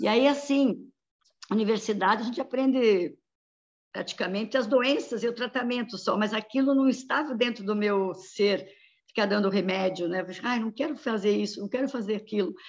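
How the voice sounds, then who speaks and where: Using an ordinary speaking voice, a woman talks at a moderate pace with a fairly high pitch. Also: ordinary pitch variation. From Santa Catarina, Brazil (São Lourenço do Oeste). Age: 60s. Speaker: pediatrician. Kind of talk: interview.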